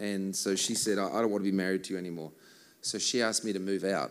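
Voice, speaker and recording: A man with a fairly low pitch and vocal fry speaks with ordinary pitch variation. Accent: Australian. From Australia. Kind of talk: church talk with songs, interpreted live. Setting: stage with audience.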